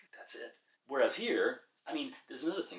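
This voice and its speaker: A man speaks with a New York accent. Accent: New York American. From New York, US. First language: Czech. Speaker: interviewee. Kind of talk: interview. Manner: halting.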